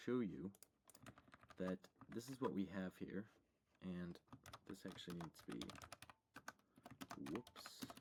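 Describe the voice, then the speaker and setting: A soft-spoken man's very slow, very deep and low voice, lively in intonation, with long, frequent pauses. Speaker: programming tutorial youtuber. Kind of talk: screen-share coding tutorial. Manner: quiet, talking very softly; casual, with fillers.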